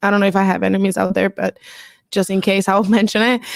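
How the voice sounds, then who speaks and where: Her medium pitch carries a Spanish accent in a monotone, flat delivery. The woman's recording is very clean, with a silent background. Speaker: pro volleyball player. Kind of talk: press conference answers.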